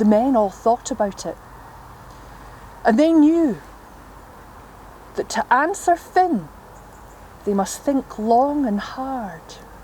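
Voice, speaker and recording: A woman speaks at a high pitch with very wide pitch swings and a very slow pace. Long, frequent pauses break her speech over noticeable background noise. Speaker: traditional storyteller. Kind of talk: traditional storytelling performance.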